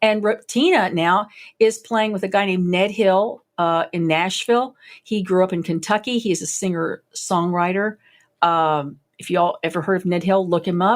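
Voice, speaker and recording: On a very clean recording with a silent background, a woman speaks at medium pitch. Her pace is moderate and her pitch variation ordinary. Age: 60s. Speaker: violist and music teacher. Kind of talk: interview. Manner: animated.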